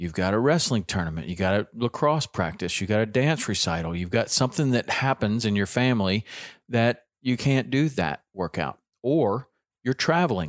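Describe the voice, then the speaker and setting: Recorded very cleanly with a silent background, a man with a Southern US accent speaks with very wide pitch swings. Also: medium pitch for a man, moderate pace. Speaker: fitness podcast host. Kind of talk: casual solo talk, fitness tips. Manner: conversational with fillers.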